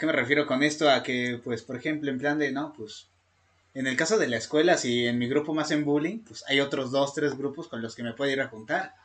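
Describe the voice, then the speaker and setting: Here is a man with a normal speaking voice. His pitch is fairly high with ordinary variation, and his pace is fairly quick. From Mexico. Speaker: podcast co-host. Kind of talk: casual chat.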